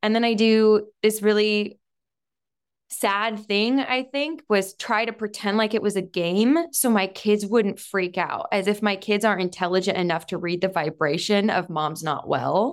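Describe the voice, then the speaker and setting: A woman with an ordinary speaking voice talks at a fairly slow pace in a medium pitch, with ordinary pitch variation. The recording is very clean, with a silent background. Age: 30s. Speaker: business leader and author. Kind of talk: interview.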